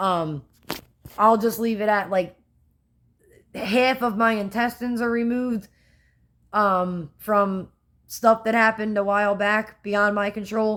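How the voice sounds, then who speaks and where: In a Philadelphia accent, a woman talks at a fairly slow pace and a fairly high pitch, taking long, frequent pauses. Her intonation stays fairly even, and the recording is very clean, with a silent background. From US Northeast, Philadelphia. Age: 30s. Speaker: vlogger. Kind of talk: casual vlog talk.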